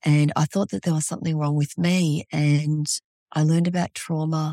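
On a very clean recording with a silent background and a dry, close sound free of echo, a woman with a very deep, low pitch speaks at a moderate pace. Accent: Australian. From Australia. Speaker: trauma therapist. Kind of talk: interview.

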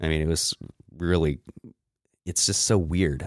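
On a very clean recording with a silent background, a man speaks in a very deep, low voice with monotone, flat intonation. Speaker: podcast co-host. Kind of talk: casual chat. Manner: casual, profane.

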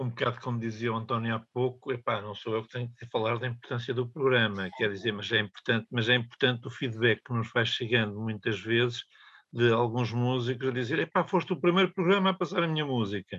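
Using a plain, everyday voice, a man talks at a medium pitch and a fairly quick pace with ordinary pitch variation and hardly any pauses. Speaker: radio presenter. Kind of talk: casual chat. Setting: studio.

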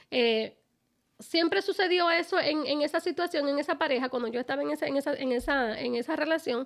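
The speech is animated in tone, fairly quick in pace and ordinary in pitch variation. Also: woman, high pitch for a woman. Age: 50s. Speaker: podcast host. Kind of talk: casual chat.

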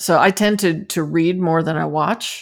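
At a moderate pace, a woman with an American accent talks at a fairly low pitch. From New Jersey, small town. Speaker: fire department chaplain. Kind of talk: interview. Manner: halting.

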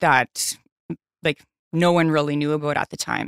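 A moderate pace in a Newfoundland accent, dry and close with no echo, on a very clean recording with a silent background. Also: woman. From Newfoundland, Canada. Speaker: guest sharing recovery story. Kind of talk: casual interview. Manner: soft-spoken.

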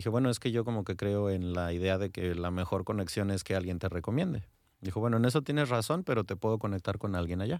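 In a very clean recording with a silent background, a man with a Mexican accent talks very fast at fairly low pitch with ordinary pitch variation. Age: 30s. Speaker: former lawyer turned course instructor. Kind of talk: radio interview. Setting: radio studio.

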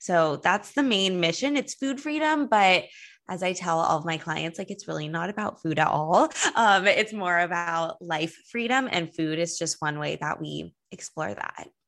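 With a Californian accent, a woman speaks in a fairly low pitch and lively intonation. The background is quiet. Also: moderate pace. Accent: Californian American. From Los Angeles. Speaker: wellness coach. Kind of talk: casual interview.

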